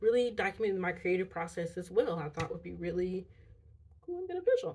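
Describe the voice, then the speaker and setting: A woman with a plain, everyday voice talks at a fairly quick pace. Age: 30s. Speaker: vlogger and college student. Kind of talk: casual chat. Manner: casual, with many fillers.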